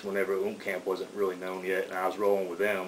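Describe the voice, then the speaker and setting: A man with an Atlanta accent talks at a very fast pace in a fairly low pitch and a monotone, flat intonation. Audible room echo and noticeable background noise surround his voice. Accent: Southern US (Atlanta). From Atlanta, US South. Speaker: rapper. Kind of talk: radio interview. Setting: radio studio. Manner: halting, repeats words.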